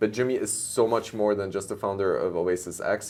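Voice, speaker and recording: A man with a plain, everyday voice talks at a moderate pace, his fairly low pitch following a fairly even intonation. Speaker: show host and startup founder. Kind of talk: interview show.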